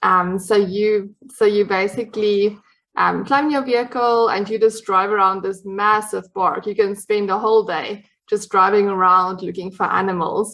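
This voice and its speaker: A woman speaks with a South African accent at medium pitch. Her pace is moderate and her intonation fairly even. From South Africa, Cape Town. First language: Afrikaans. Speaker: dietitian, podcast guest. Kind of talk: casual interview chat. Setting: podcast recording.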